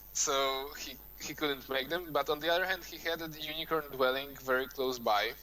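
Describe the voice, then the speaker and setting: A man speaks with hardly any pauses, his intonation fairly even and his tone bright and sharp. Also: fairly high pitch for a man, moderate pace. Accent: non-native. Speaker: game commentator. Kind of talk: live commentary.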